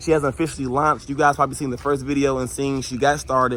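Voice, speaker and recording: A man's medium-pitched voice over noticeable background noise. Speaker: marketing coach and detailing business owner. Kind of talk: casual vlog tutorial. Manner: fast.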